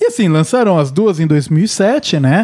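A man's high-pitched voice with very wide pitch swings, in a dry, close sound with no echo. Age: 30s. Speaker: podcast host. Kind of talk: casual chat.

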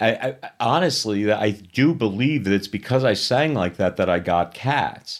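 In an ordinary speaking voice, a man at medium pitch talks at a moderate pace with lively intonation, on a very clean recording with a silent background. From New York City (Queens). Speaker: musical theater actor and director. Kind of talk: interview. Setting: studio.

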